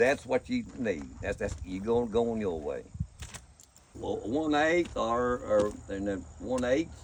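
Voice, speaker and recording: Against noticeable background noise, a man with an American accent talks at a fairly slow pace. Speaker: welder. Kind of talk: storytelling. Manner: slow, unhurried.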